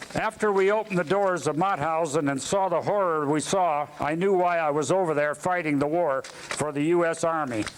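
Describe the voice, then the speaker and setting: A man with an American accent speaks at a high pitch and a moderate pace, with ordinary pitch variation. His loudness stays very even over noticeable background noise. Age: 70s. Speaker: war veteran. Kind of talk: testimony. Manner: halting.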